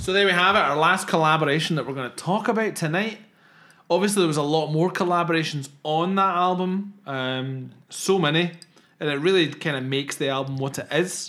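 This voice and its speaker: In a Scottish accent, a man talks at a fairly quick pace in a fairly high pitch, his tone bright and sharp with ordinary pitch variation. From southwest Scotland. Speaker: podcast host. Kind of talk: casual chat.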